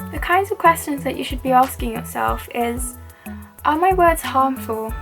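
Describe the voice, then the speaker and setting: Someone soft-spoken talks while music plays in the background. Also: woman. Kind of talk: hijab tutorial with motivational talk to camera. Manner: quiet, soft-spoken.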